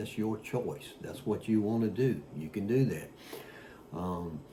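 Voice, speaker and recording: A man with a dark, mellow tone and fairly low pitch talks at a fairly slow pace, somewhat breathy, with ordinary pitch variation. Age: 60s. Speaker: fitness vlogger. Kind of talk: casual talk to camera. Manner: halting with many fillers.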